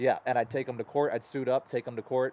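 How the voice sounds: A man's medium-pitched voice at a fast pace with little pitch movement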